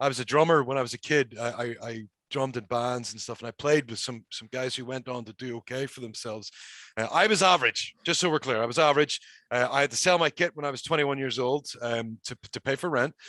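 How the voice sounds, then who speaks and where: A man with a Northern Irish accent talks at a very fast pace in a medium pitch, his tone bright and sharp and his pitch varying in an ordinary way. His loudness swings widely, and the sound is dry and close with no echo against a quiet background. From Northern Ireland. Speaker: pro wrestler. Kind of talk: casual chat.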